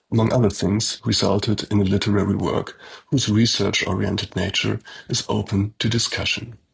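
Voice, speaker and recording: Speaking at a fairly quick pace, a man's voice carries vocal fry. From Switzerland. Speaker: professor. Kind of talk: lecture. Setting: pre-recorded video. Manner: formal.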